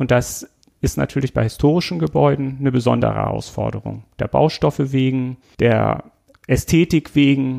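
A man speaks at a moderate pace. Everything sounds dry and close, without any echo. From Schleswig-Holstein, northern Germany. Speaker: podcast host, municipal utility employee. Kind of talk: casual interview.

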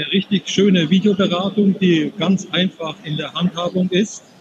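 A man with a high voice speaks at a fairly slow pace over noticeable background noise. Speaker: software demonstrator. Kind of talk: product demo. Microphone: poor connection, not fully intelligible.

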